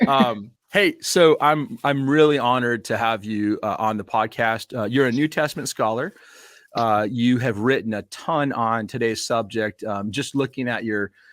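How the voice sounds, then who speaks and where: A man with an American accent has an ordinary speaking voice at a medium pitch, with ordinary pitch variation and a moderate pace. The very clean recording is dry and close with no echo and a silent background. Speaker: podcast host. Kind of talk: interview.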